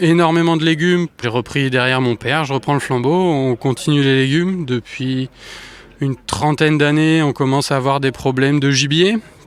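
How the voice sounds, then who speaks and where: Loudness stays very even as a man speaks at a fairly high pitch. Noticeable background noise is present. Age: young. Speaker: farmer. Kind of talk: interview.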